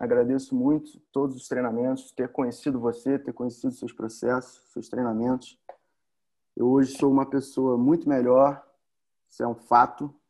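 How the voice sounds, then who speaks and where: With a dark, mellow tone, a man speaks at medium pitch, a moderate pace and fairly even intonation. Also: big swings in loudness. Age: 30s. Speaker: electrical engineer, former training participant. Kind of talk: casual interview, testimony. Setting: remote recording during quarantine.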